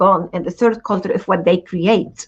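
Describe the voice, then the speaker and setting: Somewhat breathy, a woman speaks in a medium pitch at a moderate pace with fairly even intonation. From Lebanese background, raised in several countries incl. Venezuela. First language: not English; changed mother tongue three times. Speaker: event host and moderator. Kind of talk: panel discussion.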